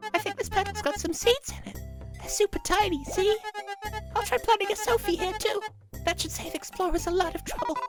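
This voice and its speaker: A squeaky put-on character voice at an extremely high pitch rattles along at a fairly quick pace, with clear music in the background. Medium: game stream. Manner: warm, polite.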